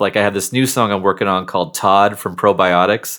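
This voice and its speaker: In a very clean recording with a silent background, a man with an American accent talks at a fairly quick pace and fairly low pitch in an unremarkable speaking voice. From Seattle, US Pacific Northwest. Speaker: nerd rock musician. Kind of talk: casual interview chat.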